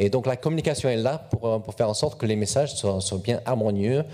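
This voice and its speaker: A dark, mellow tone with a slight English accent moves at a fairly quick pace, its pitch varying in an ordinary way. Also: man. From England. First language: English (speaking French). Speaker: corporate communications officer. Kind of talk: panel talk at a youth event. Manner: hesitant, repeats words.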